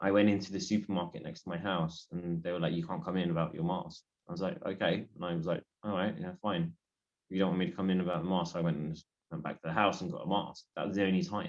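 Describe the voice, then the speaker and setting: Fairly even intonation carries the words along at a very fast clip. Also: man, very deep, low pitch for a man. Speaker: podcast co-host and English teacher. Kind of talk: casual chat. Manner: hesitant, many fillers.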